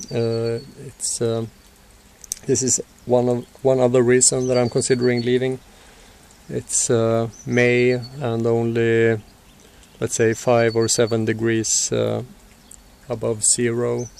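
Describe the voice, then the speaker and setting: A man at a very slow pace, monotone and flat, with long, frequent pauses, a dry sound with no echo, and light background noise. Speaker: vlogger. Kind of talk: casual vlog monologue. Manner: halting, many fillers; dull, low energy. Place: street. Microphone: phone near.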